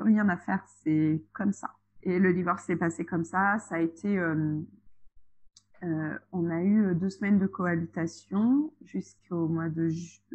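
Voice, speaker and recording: Fairly low in pitch, a woman talks at a very slow pace with ordinary pitch variation. The background is quiet. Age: 30s. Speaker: childminder and single mother. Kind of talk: casual interview chat. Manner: hesitant, many fillers.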